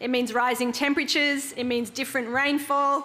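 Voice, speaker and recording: A woman with an Australian accent speaks in a high pitch. Her pace is fairly quick and her intonation fairly even. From Australia (Queensland). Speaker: social enterprise founder; conference speaker. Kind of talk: conference workshop talk. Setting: conference room with audience.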